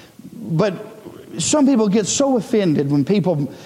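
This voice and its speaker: A man talks at a fairly slow pace amid noticeable background noise and audible room echo. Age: 30s. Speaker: preacher. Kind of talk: sermon. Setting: church. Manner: halting.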